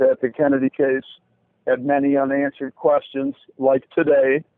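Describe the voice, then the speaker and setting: A man speaks at a moderate pace with a fairly high pitch. His intonation is monotone and flat. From US Midwest, Chicago area. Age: 60s. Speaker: interviewee, assassination researcher. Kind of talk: interview.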